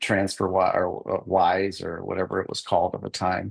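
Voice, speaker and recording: Against a quiet background, a man speaks at a moderate pace with a fairly low pitch. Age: 60s. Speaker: husband in a divorce case. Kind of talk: court testimony. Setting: courtroom. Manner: halting, many repetitions and fillers.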